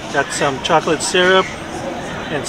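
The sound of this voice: A man talks at a fairly slow pace with ordinary pitch variation, over clear background noise and clear crowd noise behind him.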